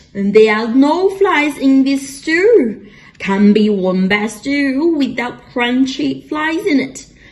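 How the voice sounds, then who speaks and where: Using a put-on character voice, a woman hisses at a high pitch and talks at a very slow pace. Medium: read story. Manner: hissing.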